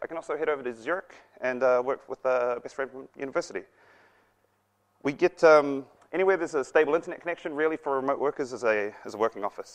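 Against a quiet background, a man speaks very fast, his pitch varying in an ordinary way. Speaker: conference presenter. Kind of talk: conference talk. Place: classroom.

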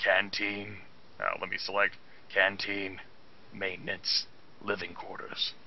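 A man puts on a gravelly character voice, speaking at a fairly slow pace. Clear background noise is present.

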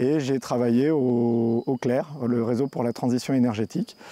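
In a dark, mellow tone, a man at a medium pitch talks at a moderate pace with fairly even intonation and a dry sound with no echo. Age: 40s. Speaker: energy transition network worker. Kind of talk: personal testimony. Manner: hesitant with fillers and repetitions. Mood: calm, reflective. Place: garden.

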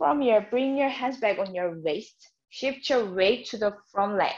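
Against a quiet background, a woman with a Korean accent speaks at a fairly high pitch with lively intonation. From South Korea. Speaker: yoga teacher. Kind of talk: guided yoga class. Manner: slow, calm instruction. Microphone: camera far.

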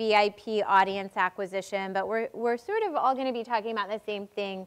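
This woman's intonation stays fairly even. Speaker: panel moderator. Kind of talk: panel introduction. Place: stage. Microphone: lapel.

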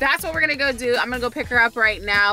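A woman talks over faint background music, the sound dry with no echo. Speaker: vlogger. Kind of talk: casual vlog chat. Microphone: phone near.

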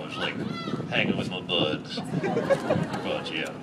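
In a cartoonish character voice, a man speaks at a fairly slow pace over clear background noise. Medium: puppet show. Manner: heckling, giggly.

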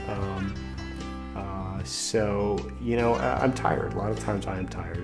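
A man speaks over clear background music. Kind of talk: interview answer. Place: home room.

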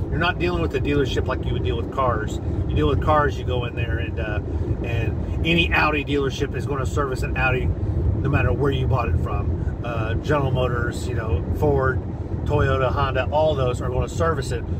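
Against loud background noise, a man talks at a fairly quick pace, and the sound is dry with no echo. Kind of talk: casual vlog chat. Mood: animated, persuasive. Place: car. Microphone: phone near.

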